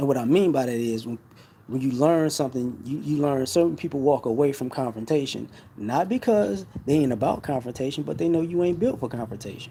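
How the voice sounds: A dark, mellow tone with a slightly husky edge, ordinary pitch variation, and a fairly quick pace. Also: man.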